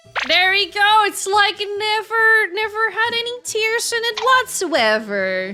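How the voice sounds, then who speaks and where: A raised, projected voice speaks at a fairly slow pace with hardly any pauses over noticeable background noise. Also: woman, extremely high pitch for a woman. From Netherlands. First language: Dutch. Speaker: VTuber streamer. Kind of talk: casual livestream chat. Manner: animated.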